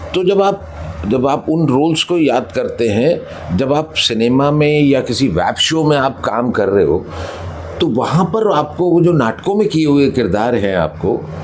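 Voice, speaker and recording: A man with a Punjabi accent talks at a fairly high pitch with very wide pitch swings. His loudness stays very even, and there is noticeable background noise. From Gwalior, Madhya Pradesh, India. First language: Punjabi (speaking Hindi). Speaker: actor. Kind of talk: interview. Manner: hesitant, many fillers.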